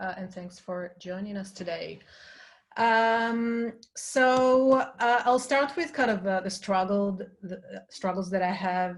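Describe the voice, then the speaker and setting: A woman with an Israeli accent at a medium pitch, speaking at a very slow pace with ordinary pitch variation and big swings in loudness. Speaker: design industry leader. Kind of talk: panel discussion. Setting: webinar video call. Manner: halting.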